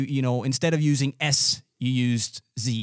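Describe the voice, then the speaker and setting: A man's fairly slow speech with ordinary pitch variation, in a dry, close sound with no echo. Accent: Danish. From Denmark. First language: Danish. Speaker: podcast host. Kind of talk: casual chat.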